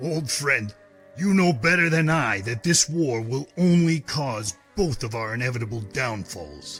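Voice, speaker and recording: A man uses a put-on character voice at a medium pitch and a moderate pace, with lively intonation. Faint music plays in the background. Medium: audio drama. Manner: calm, measured.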